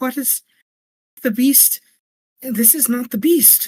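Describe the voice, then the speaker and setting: A female-sounding voice performs a put-on character voice at a fairly high pitch and a fairly slow pace. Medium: actual play. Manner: halting, stammering.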